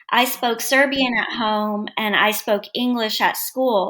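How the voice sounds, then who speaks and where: A woman with an American accent speaks at a very slow pace. Her tone is bright and sharp. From United States (born in former Yugoslavia). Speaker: educational consultant and author. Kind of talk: interview.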